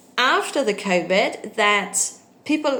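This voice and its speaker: A woman with a Danish accent at a fairly slow pace. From Denmark. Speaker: English tutor. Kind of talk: casual talk to camera. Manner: hesitant, many fillers.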